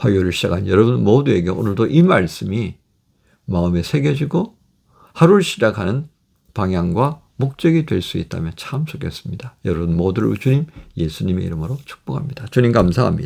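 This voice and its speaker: Pitch swinging very widely, a man with a fairly low voice speaks at a fairly quick pace. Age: 60s. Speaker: pastor. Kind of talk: sermon.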